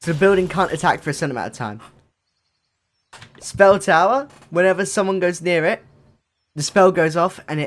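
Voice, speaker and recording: Loud and high-pitched, a man talks at a fairly quick pace with ordinary pitch variation and long, frequent pauses. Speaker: gaming content creator. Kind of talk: casual gameplay commentary. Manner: animated.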